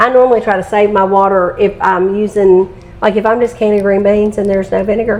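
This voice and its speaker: Amid noticeable background noise, a woman with a Southern Appalachian accent talks fairly quickly at medium pitch in a flat monotone. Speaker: home canner and real estate agent. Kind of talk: casual cooking tutorial.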